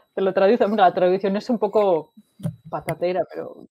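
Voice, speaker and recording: A woman with a normal speaking voice talks at a moderate pace with fairly even intonation. The sound is dry and close, with no echo. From Spain, Asturias. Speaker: data analytics expert, mechanical engineer. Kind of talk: interview.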